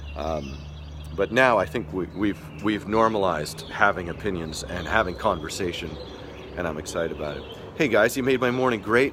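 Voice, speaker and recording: Through noticeable background noise, a man with a very deep, low pitch talks at a moderate pace with lively intonation. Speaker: skateboarding livestream host. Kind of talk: casual live stream chat. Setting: live stream. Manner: halting, many fillers and restarts.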